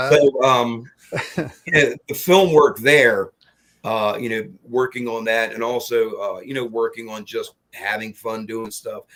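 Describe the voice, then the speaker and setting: With big swings in loudness, a man talks at a medium pitch in a plain, everyday voice. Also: ordinary pitch variation, fairly slow pace. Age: 60s. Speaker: horror filmmaker and craftsman. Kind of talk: interview. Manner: rambling, with many fillers and restarts.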